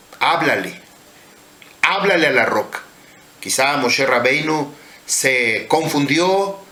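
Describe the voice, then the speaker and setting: A man speaks very slowly in a fairly high pitch, with ordinary pitch variation, very even loudness and long, frequent pauses. Audible room echo and noticeable background noise are present. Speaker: religious teacher. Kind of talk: sermon.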